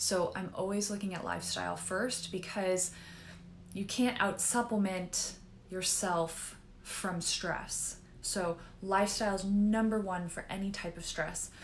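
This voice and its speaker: A woman speaks at a medium pitch and a fairly slow pace with monotone, flat intonation. Audible room echo surrounds her voice. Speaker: naturopathic doctor. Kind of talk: educational talk.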